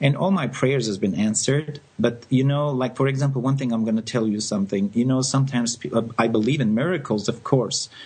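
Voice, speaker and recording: Here a man talks at a fairly quick pace with hardly any pauses. His voice is somewhat breathy. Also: medium pitch for a man, ordinary pitch variation. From France. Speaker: psychic medium radio host. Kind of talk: live call-in radio readings. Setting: live radio, phone calls.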